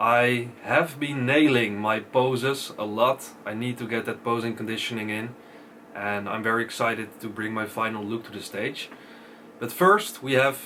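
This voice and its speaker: Over noticeable background noise, a man speaks at medium pitch and a moderate pace with fairly even intonation. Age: 20s. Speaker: bodybuilder vlogger. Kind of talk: casual vlog.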